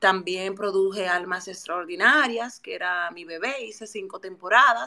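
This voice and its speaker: Delivered with a bright, sharp tone at a fairly slow pace, the speech has hardly any pauses, ordinary pitch variation and big swings in loudness. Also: woman, medium pitch for a woman. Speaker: TV presenter and communicator. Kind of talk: interview. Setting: Twitter audio space.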